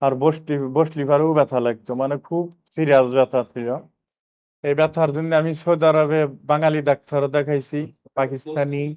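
A man speaks in a monotone, flat intonation, with a dry, close sound with no echo. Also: fairly high pitch for a man. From Bangladesh, Rajbari district. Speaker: patient, migrant worker. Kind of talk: patient testimonial.

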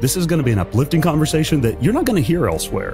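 A man speaks with very wide pitch swings. Clear music plays in the background. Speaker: podcast host. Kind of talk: podcast intro. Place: home room. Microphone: studio mic.

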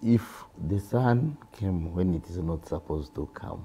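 A man's dark, mellow voice is somewhat breathy, with ordinary pitch variation. Light background noise can be heard. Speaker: senior media producer. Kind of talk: panel discussion. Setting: studio. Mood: earnest, explaining. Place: studio. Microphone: lapel.

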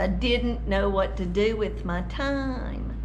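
The pace of the speech is very slow. Light background noise is present. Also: woman. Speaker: vlogger. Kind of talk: casual vlog chat. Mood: sad, reflective storytelling. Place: home room. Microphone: webcam.

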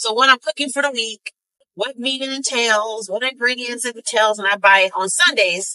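At a moderate pace, a woman talks in a fairly high voice with a bright, sharp tone and ordinary pitch variation.

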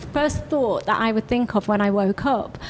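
Noticeable background noise sits behind a woman speaking at a moderate pace with a fairly high pitch. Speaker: podcast host. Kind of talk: podcast interview.

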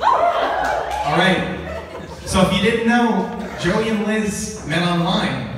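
A very slow-paced man with hardly any pauses, audible room echo and loud background noise. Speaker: best man giving wedding toast. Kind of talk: best man toast and roast, joking wedding speech to a room of guests. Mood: warm, humorous, heartfelt. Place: hall.

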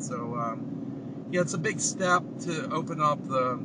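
Over loud background noise, a man speaks with ordinary pitch variation in a dry recording that has no echo. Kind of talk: casual vlog chat. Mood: excited, relaxed. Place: car. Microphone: camera far.

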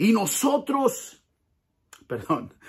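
A man speaks at a high pitch in an animated tone. The background is quiet. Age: 50s. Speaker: pastor. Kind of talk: motivational talk; casual vlog chat. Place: garage. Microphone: phone near.

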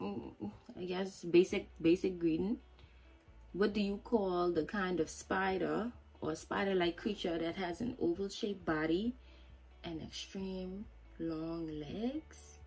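Faint music plays in the background. A woman speaks in a Turks and Caicos accent. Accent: Turks and Caicos Islander. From Turks and Caicos Islands. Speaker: vlogger. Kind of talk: casual talk to camera. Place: home room. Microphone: phone near.

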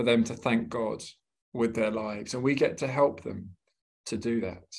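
This man talks fairly quickly. He has a British accent. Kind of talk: webinar talk. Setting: video call.

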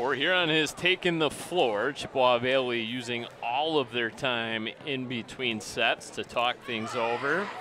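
With noticeable background noise and a dry sound with no echo, a man speaks with hardly any pauses. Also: ordinary pitch variation, fairly slow pace. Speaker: sports broadcaster. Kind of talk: sports commentary. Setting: high above the gymnasium, broadcasting a live game. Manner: upbeat broadcaster tone, rattling off stats and scores. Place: hall.

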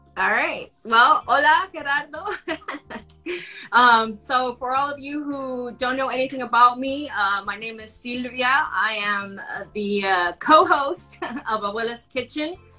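Faint music sits in the background while a woman with a high pitch speaks with long, frequent pauses. Her loudness swings widely. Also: moderate pace. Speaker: cooking channel co-host, remote guest. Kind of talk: interview answer. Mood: warm, upbeat. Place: home room. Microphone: video call.

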